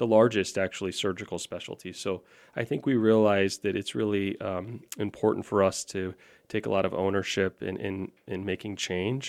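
The sound is dry and close, with no echo, as a man speaks in a plain, everyday voice. His pitch is fairly low, his intonation fairly even, his pace moderate. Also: very clean recording, silent background. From Florida (Orlando). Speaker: orthopaedic surgeon. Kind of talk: podcast interview. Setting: studio.

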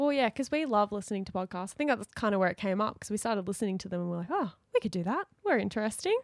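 A woman with an Australian accent talks at a very fast pace, with hardly any pauses, lively intonation and a medium pitch. The sound is dry and close with no echo, on a very clean recording with a silent background. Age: 20s. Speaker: podcast co-host, dancer. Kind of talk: casual chat.

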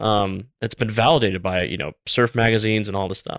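A man with an American accent and a normal speaking voice talks at a moderate pace, pitched fairly low with ordinary pitch variation. The sound is dry and close with no echo, on a very clean recording with a silent background. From US South, Tampa, Florida. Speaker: business consultant and former retail buyer. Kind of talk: casual interview chat.

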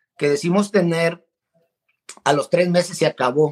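A man speaks with a high pitch. The sound is dry and close, with no echo. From Mexico, Guadalajara (born in El Salvador). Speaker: marriage counselor and coach. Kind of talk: interview.

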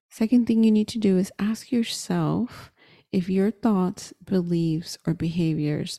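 On a very clean recording with a silent background and a dry, close sound with no echo, a woman of medium pitch speaks at a fairly slow pace, her tone dark, mellow and somewhat breathy, her intonation lively. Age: 30s. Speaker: podcast host and career coach. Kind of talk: solo podcast monologue.

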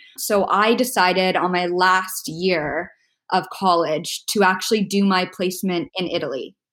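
With a Canadian accent and an ordinary speaking voice, the speaker talks at a fairly slow pace with ordinary pitch variation in a very clean recording with a silent background. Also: woman, medium pitch for a woman. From Canada, Toronto. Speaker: podcast guest living with immune deficiency. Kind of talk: casual interview chat.

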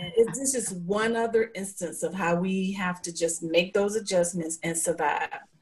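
With hardly any pauses, a woman of medium pitch and ordinary pitch variation speaks through noticeable background noise. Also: moderate pace. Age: 60s. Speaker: guest panelist. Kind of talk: casual group chat. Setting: video call.

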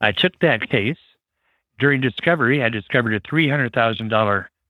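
In an American accent, a man talks at a moderate pace with lively intonation and an ordinary speaking voice. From US Midwest, Chicago suburbs. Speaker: trial lawyer. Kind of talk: interview.

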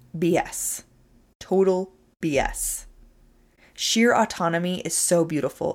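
On a very clean recording with a silent background, a woman speaks at a medium pitch in an animated tone, at a fairly slow pace with long, frequent pauses and ordinary pitch variation. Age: 30s. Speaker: podcast host and nutrition coach. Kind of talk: motivational solo podcast talk.

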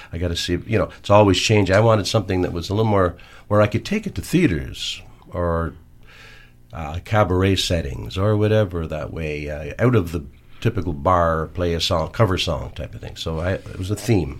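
A man's very deep, low voice with vocal fry and a Canadian accent, at a fairly quick pace, on a very clean recording with a silent background. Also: ordinary pitch variation, big swings in loudness. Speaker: singer-songwriter. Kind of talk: casual interview. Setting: radio studio. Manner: hesitant, many fillers.

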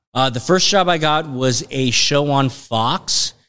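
The man has an American accent, a medium pitch and ordinary pitch variation. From Los Angeles, San Fernando Valley. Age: 40s. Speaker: film and TV executive, former actor. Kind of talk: casual interview.

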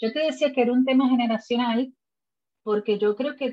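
Moderate pace and a somewhat breathy quality from a woman. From Puerto Rico. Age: 40s. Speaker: podcast host, lawyer. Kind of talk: casual interview chat.

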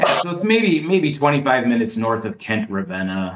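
A man's voice makes very wide pitch swings over noticeable background noise. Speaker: mushroom enthusiast. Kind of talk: casual chat.

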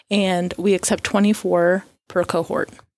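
A woman with an American accent speaks at a medium pitch in an ordinary speaking voice, her intonation fairly even, on a very clean recording with a silent background. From Florida. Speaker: occupational therapy professor. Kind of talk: radio interview.

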